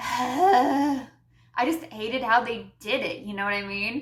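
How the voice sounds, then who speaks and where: A woman speaks at a fairly slow pace with an animated tone and lively intonation. Noticeable background noise runs underneath. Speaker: YouTube commentator. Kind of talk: rant.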